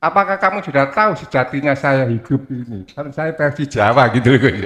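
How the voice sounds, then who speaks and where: With lively intonation and a fairly high pitch, a man talks at a fairly quick pace in an ordinary speaking voice. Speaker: congregant asking question. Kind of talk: question to preacher. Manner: polite, deferential.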